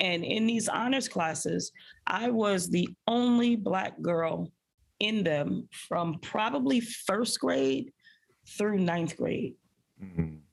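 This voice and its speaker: With a New York accent, a woman talks at a very slow pace and a very even loudness, on a very clean recording with a silent background. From Brooklyn, New York. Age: 40s. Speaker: high school principal. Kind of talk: interview. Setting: in her school's food pantry.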